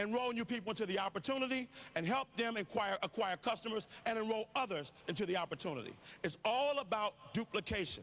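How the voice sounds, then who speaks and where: Very fast and animated, a man speaks at a high pitch with ordinary pitch variation and very even loudness. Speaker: network marketing speaker. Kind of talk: motivational business presentation.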